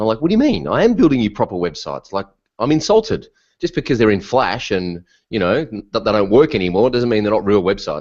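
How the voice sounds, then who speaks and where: Very fast, animated speech from a man with an Australian accent, medium-pitched, with lively intonation over a quiet background. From Australia (Melbourne). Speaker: WordPress consultant. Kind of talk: interview.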